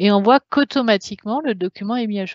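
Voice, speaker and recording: A woman's fairly quick delivery, pitch shifting in an ordinary way. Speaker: software product presenter. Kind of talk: webinar software demo. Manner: halting, many fillers.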